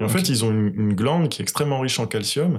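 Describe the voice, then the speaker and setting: A man is speaking. His intonation is lively. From Senegal. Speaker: agronomist and soil specialist. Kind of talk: interview. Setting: farmhouse living room.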